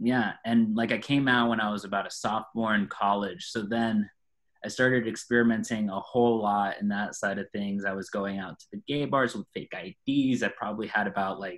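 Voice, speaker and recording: A plain, everyday voice from a man with an American accent, fairly low in pitch, at a fairly quick pace with fairly even intonation. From Florida, US. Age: 30s. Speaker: person in addiction recovery. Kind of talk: testimony.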